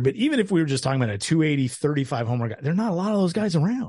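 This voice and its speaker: Speaking with an American accent, a man sounds somewhat breathy, and his pitch swings very widely. The background is quiet. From Tacoma, Washington. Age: 40s. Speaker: baseball analyst and writer. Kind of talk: casual chat.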